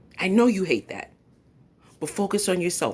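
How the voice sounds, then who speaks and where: A woman with a fairly low pitch speaks in an animated tone with a New York accent and some vocal fry. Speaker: YouTube commentator. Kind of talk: live stream commentary. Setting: at home.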